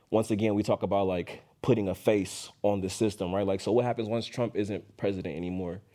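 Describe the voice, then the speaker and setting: In a very clean recording with a silent background, a man with an American accent speaks at a fairly quick pace in a fairly low pitch, his tone dark and mellow and his intonation fairly even. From Oakland, California. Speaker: podcast host, journalist. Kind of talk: panel interview.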